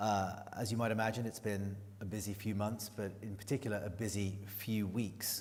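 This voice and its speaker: A man with a fairly low pitch and a somewhat breathy voice talks at a moderate pace in a monotone, flat intonation, with audible room echo. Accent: British. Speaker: journalist. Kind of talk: moderated interview introduction. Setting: stage with audience.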